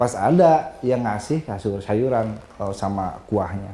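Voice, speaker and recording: With a strong Sundanese accent, a man speaks at a very slow pace. His intonation is lively. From West Java (Tasikmalaya), Sundanese. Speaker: orphanage caretaker. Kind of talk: casual interview chat.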